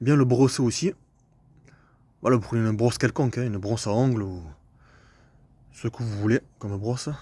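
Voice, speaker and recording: Long, frequent pauses break up fairly quick speech in a southern French accent, delivered in a dark, mellow tone with ordinary pitch variation. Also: man, medium pitch for a man. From southern France. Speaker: landscape gardener and video maker. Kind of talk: casual tutorial video. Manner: casual, hesitant with fillers.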